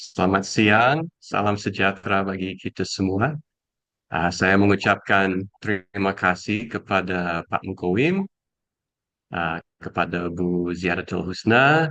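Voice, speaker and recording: Speaking with a non-native accent at a very slow pace, a man with a very deep, low pitch has a bright, sharp tone and ordinary pitch variation, heard in a dry, close sound with no echo over a quiet background. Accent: foreign accent in Indonesian. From USA. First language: English (speaking Indonesian). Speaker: educator and speaker. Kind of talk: talk. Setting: video call. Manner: halting.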